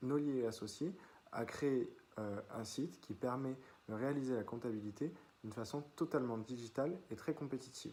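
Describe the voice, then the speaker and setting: Ordinary variation marks the pitch. A dark, mellow tone colors the voice. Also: man, medium pitch for a man, moderate pace. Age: 20s. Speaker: business student. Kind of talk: self-presentation video. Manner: hesitant, many fillers.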